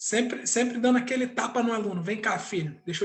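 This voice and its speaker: A man is talking here. His pace runs fairly quick. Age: 30s. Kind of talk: casual chat.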